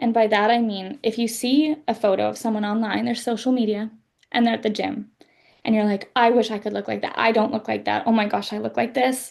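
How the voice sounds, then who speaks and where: An ordinary speaking voice: a woman with a Canadian accent, fairly high in pitch, fairly quick in pace, with fairly even intonation. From western Canada. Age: 20s. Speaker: author. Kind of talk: interview.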